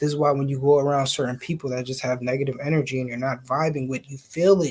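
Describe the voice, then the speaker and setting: Speaking at a fairly quick pace, a man sounds somewhat breathy. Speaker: conspiracy theory podcaster. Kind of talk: casual monologue. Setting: home living room, laptop. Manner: animated; soft-spoken. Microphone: laptop mic.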